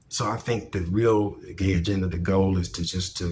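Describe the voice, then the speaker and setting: A man speaks in a very deep, low pitch that is somewhat breathy. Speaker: video commentator. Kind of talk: monologue commentary. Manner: animated.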